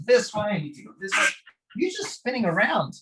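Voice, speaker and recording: A man is speaking. His voice is high-pitched. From Hungary. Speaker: martial arts teacher and podcast guest. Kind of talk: podcast interview.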